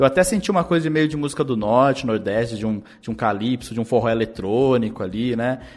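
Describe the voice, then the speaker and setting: A man talks at a fairly quick pace with hardly any pauses, in a medium pitch with ordinary pitch variation. He has an ordinary speaking voice. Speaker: podcast host, music analyst. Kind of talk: casual music-analysis chat.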